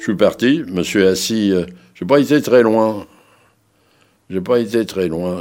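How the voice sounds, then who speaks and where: Lively intonation at a moderate pace. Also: man. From Paris. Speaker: Holocaust survivor and former resistance fighter. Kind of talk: testimony. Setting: recorded interview. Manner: halting.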